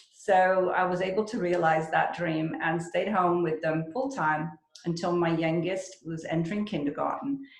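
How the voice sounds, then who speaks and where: At a moderate pace, a woman speaks in a plain, everyday voice, fairly low in pitch with ordinary pitch variation. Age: 60s. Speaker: real estate agent. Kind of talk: interview.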